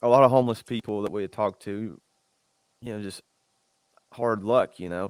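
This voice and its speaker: Speaking in a Southern US accent, a man with a fairly low pitch talks at a fairly quick pace with long, frequent pauses, fairly even intonation and big swings in loudness, the sound dry and close with no echo. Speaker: fitness podcast co-host. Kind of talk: casual chat.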